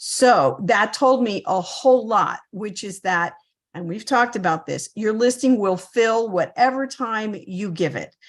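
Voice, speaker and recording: Speaking at a fairly slow pace with lively intonation and big swings in loudness, a woman with a fairly high pitch has an unremarkable speaking voice, captured on a very clean recording with a silent background. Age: 60s. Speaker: reseller on a mentorship call. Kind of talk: casual chat.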